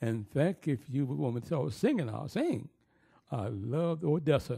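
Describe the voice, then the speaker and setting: With an American accent, a man talks at a fairly slow pace and fairly high pitch, his dark, mellow tone carrying vocal fry. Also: lively intonation. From US South, New Orleans, Louisiana. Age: 80s+. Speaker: retired opera singer and music teacher. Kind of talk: oral history interview. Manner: halting, many fillers and restarts.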